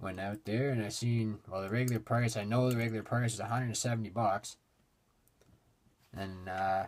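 A man's fairly low, monotone, flat voice at a moderate pace, over light background noise. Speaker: hobby collector vlogger. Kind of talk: casual vlog chat. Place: home room.

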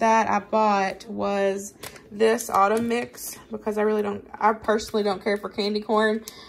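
A woman at a moderate pace over light background noise. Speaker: home cooking vlogger. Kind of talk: casual tutorial chat. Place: kitchen. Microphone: phone near.

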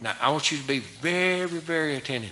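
A man with an American accent, fairly high in pitch, bright and sharp in tone, animated and at a moderate pace. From US South. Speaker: preacher. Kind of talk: sermon. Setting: church. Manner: animated, emphatic preaching with rhetorical questions. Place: church. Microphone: podium.

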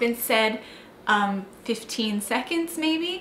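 A woman speaks with ordinary pitch variation. Her voice carries audible room echo over light background noise. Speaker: vlogger telling a personal story. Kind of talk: casual vlog chat. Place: home room.

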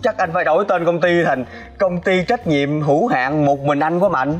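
A man speaks at a moderate pace with faint music playing in the background. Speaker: actor playing a boss. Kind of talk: scripted drama dialogue, pleading. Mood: pleading, comic desperation. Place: garden.

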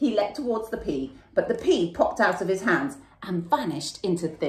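The text is read out plainly. It is plain reading aloud.

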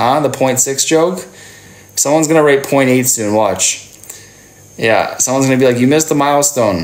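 Pitch shows ordinary variation. The speaking pace stays moderate. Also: man. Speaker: live streamer. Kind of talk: casual live stream chat with viewers. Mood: playful, teasing. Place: home room. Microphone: phone near.

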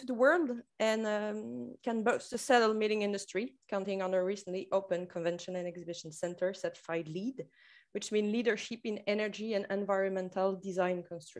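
Talking at a fairly quick pace with a French accent, a woman is heard over a quiet background. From France. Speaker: tourism marketing manager. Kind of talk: conference presentation. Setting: video call. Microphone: video call.

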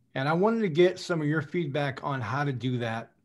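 Ordinary pitch variation and a moderate pace from a man. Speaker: salesperson. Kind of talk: question from audience. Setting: video call. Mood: candid, reflective. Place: home room. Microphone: video call.

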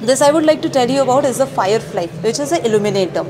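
Noticeable background noise sits behind a woman's voice. She speaks at a fairly high pitch with very wide pitch swings. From India. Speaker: university project officer; presenter. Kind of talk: interview at an exhibit, explaining products. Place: hall. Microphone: lapel.

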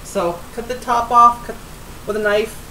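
Light background noise is present. The woman speaks at a fairly slow pace. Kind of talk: tutorial. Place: kitchen. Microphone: webcam.

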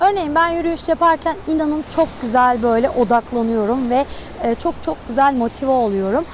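A woman speaks at a moderate pace with lively intonation. The sound is dry with no echo, and there is light background noise. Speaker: math teacher, student coach. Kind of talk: motivational talk to students. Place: beach.

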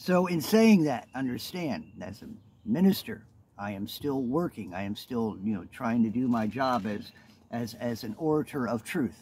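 Against light background noise, a man speaks with a dark, mellow tone in a dry sound with no echo. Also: moderate pace. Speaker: minister. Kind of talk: casual vlog chat and scripture teaching. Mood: calm, earnest. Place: forest. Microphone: phone near.

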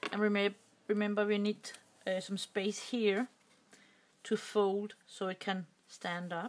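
Slow, flat speech from a woman with a medium pitch and a Danish accent, broken by long, frequent pauses. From Denmark. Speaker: crafting YouTuber. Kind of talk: tutorial. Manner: halting.

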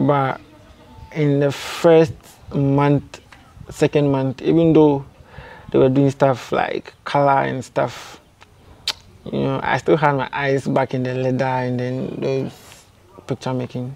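Very slowly and with long, frequent pauses, a man with a Ghanaian accent speaks in a monotone, flat intonation. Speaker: graphic design student; interviewee. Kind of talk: casual interview. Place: open country. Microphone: lapel.

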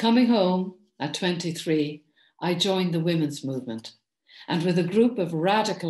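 A woman with an Irish accent speaks fairly slowly at a fairly low pitch, her intonation lively. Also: quiet background. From Ireland. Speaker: poet and author; poet. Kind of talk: recorded address. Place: home room. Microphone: webcam.

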